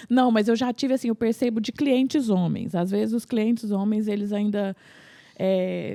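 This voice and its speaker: Dark and mellow in tone, a woman's fairly high voice moves at a moderate pace with lively intonation, recorded with a dry, close sound and no echo. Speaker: family lawyer. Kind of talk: casual chat. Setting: podcast recording.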